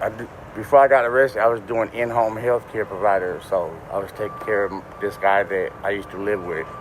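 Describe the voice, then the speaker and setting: A man talking at a fairly quick pace, fairly low in pitch, with ordinary pitch variation and noticeable background noise. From New Orleans. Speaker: man just released from jail. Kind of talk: street interview.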